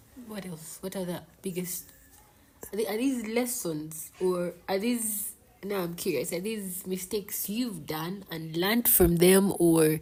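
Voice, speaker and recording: A woman speaks at a fairly slow pace in a dark, mellow, somewhat breathy voice. Her pitch is medium, with ordinary variation. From Uganda. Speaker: podcast host. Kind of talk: interview.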